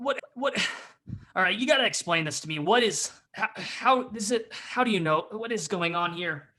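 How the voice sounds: A man's put-on character voice, gruff yet high-pitched, at a moderate pace.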